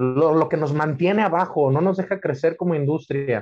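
The speaker has a Mexican accent and ordinary pitch variation. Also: man. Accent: Mexican Spanish (Jalisco). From Guadalajara, Jalisco, Mexico. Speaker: butcher. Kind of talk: casual interview. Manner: halting, many repetitions.

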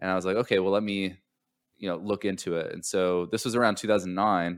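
The recording is very clean, with a silent background. A man with an American accent speaks in a very deep, low, flat monotone. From Southern California. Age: 30s. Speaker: entrepreneur, startup consultancy owner. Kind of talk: podcast interview.

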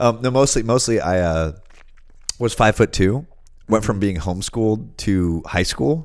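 A man speaks at a moderate pace with a fairly low pitch and lively intonation. It is a normal speaking voice. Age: 30s. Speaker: podcast co-host. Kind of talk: casual chat.

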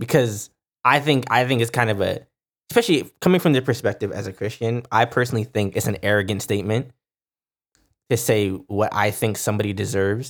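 A man's normal speaking voice at medium pitch, fairly quick, with ordinary pitch variation. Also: very clean recording, silent background. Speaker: podcast co-host. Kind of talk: casual chat.

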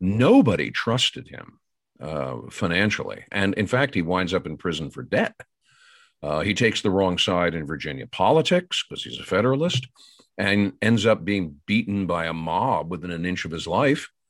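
A man's very deep, low voice with vocal fry, lively intonation, big swings in loudness and a moderate pace, on a very clean recording with a silent background. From Pennsylvania, US. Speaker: historian, professor. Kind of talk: interview.

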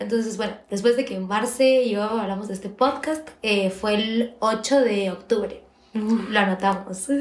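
Noticeable background noise sits behind the speaker. A woman speaks at a fairly high pitch with fairly even intonation. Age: 20s. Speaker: university student and podcast co-host. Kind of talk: casual chat. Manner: fast.

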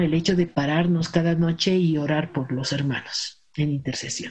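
Somewhat breathy and dark, mellow in tone, a woman speaks fairly slowly at a fairly low pitch with ordinary pitch variation. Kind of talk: casual chat.

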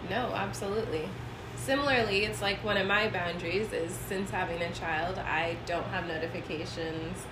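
Noticeable background noise and audible room echo accompany a woman speaking at a moderate pace and fairly low pitch, with ordinary pitch variation. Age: 30s. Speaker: podcast co-host and blogger. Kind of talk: casual chat. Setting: in-person recording on a laptop. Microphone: laptop microphone.

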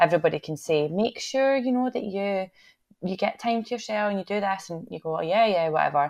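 Against a quiet background, a woman with a Scottish accent and medium pitch talks at a fairly quick pace with lively intonation. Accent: Scottish (Fife). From Scotland, Fife. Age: 20s. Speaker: actor and theatre maker. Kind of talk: casual chat.

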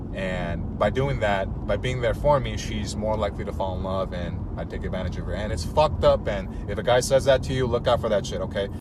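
There is noticeable background noise and audible room echo. A man talks at a fairly quick pace. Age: 30s. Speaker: dating content creator. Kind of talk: casual chat.

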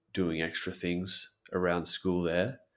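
A man with an Australian accent and a very deep, low pitch, at a moderate pace, on a very clean recording with a silent background. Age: 30s. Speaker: English teacher. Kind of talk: casual chat.

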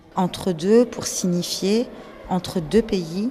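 Noticeable background noise sits under the recording. A woman speaks at a very slow pace with ordinary pitch variation. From northern France, Nord-Pas-de-Calais mining basin. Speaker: archives director and exhibition curator. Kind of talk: interview.

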